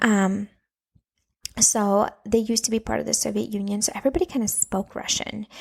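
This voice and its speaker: A somewhat breathy woman's voice with an American accent, at medium pitch, fairly quick pace and fairly even intonation. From Latvia, then Minnesota from age nine. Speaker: podcaster, parenting coach for moms. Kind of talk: casual monologue podcast. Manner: chatty, filler-heavy.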